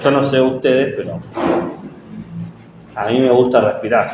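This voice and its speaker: Soft-spoken and monotone, with flat intonation, a man talks at a fairly slow pace amid audible room echo and noticeable background noise. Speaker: teacher-training lecturer. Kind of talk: lecture. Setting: classroom.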